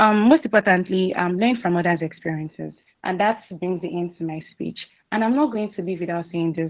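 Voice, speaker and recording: A woman's medium-pitched voice, fairly quick, with ordinary pitch variation. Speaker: mentorship seminar speaker. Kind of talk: motivational talk. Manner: fast, rushed; halting.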